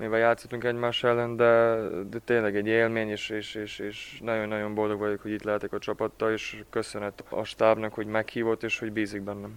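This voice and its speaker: Medium-pitched man at a fairly quick pace, monotone and flat, with a dry, close sound and no echo. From Ada, Vojvodina, Serbia. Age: 20s. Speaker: handball player. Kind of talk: interview. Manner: halting, repeats words.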